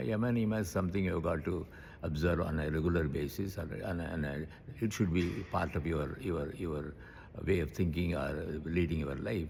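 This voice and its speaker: Somewhat breathy and very deep in pitch, a man speaks at a fairly quick pace. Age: 80s+. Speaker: yoga teacher. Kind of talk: interview answer.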